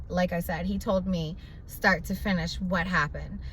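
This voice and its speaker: A woman speaks in an animated tone at a moderate pace. Audible room echo surrounds her voice. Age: young. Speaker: vlogger. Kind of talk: casual vlog monologue. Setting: at the doctor's.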